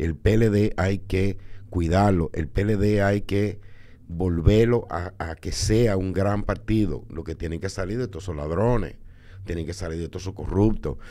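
A man with a very deep, low voice and ordinary pitch movement talks at a fairly slow pace. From Dominican Republic. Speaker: filmmaker and politician; politician. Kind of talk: casual chat. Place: studio. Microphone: studio mic.

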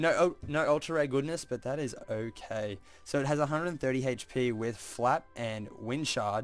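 Over music in the background, a man with a medium-pitched voice speaks at a moderate pace with ordinary pitch variation and hardly any pauses. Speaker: trading card pack opener. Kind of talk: casual talk to camera.

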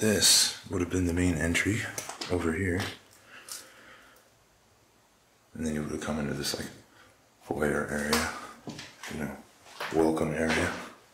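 A man is speaking with long, frequent pauses. Noticeable background noise runs underneath. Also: moderate pace. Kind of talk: casual vlog commentary. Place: church. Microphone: phone near.

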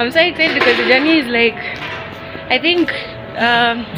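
Clear music plays in the background as a woman speaks in a high voice at a moderate pace. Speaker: travel vlogger. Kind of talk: casual vlog chat. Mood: excited, smiling. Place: street. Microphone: phone near.

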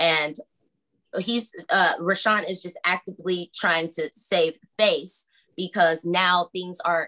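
Against a quiet background, a woman talks at medium pitch with fairly even intonation. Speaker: pro se litigant. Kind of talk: court hearing testimony. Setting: video call. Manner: halting. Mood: defensive, accusatory. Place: home room. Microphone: video call.

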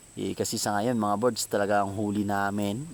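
A normal speaking voice from a man, pitched fairly low, intonation fairly even. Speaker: vlogger. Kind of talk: vlog narration. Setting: outdoors. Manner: casual.

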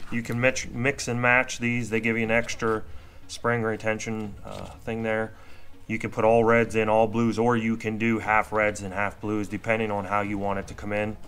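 A man speaks at a moderate pace in a flat monotone. Light background noise can be heard. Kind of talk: tutorial. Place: garage. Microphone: phone near.

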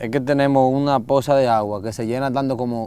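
Here a man talks at a fairly quick pace with fairly even intonation. The sound is dry with no echo. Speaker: travel show host. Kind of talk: conversational explanation. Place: waterside.

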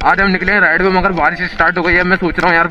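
Over faint music in the background, a man talks at a very fast pace. His pitch is high. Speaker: moto vlogger. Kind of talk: casual vlog chat. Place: motorbike. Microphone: helmet.

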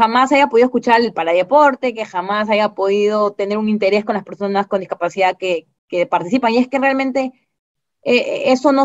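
A woman talks at a fairly quick pace with ordinary pitch variation, the background quiet. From Peru. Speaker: parataekwondo coach. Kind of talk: interview answer. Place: home room. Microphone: video call.

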